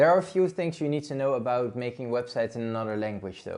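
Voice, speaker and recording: A man with a Dutch accent speaks at a fairly quick pace. His intonation is lively. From Netherlands. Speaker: blogging YouTuber. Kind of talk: online tutorial. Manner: casual.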